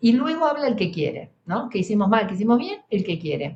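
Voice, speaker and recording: A woman's somewhat breathy, fairly high voice with an Argentine accent. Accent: Argentine Spanish (Rioplatense). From Argentina. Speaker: psychologist, emergency specialist. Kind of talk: interview conversation.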